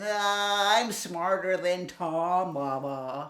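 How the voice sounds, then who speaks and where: A female-sounding voice performs a put-on character at a middle pitch. The recording is very clean, with a silent background. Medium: read story. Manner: naive, boastful.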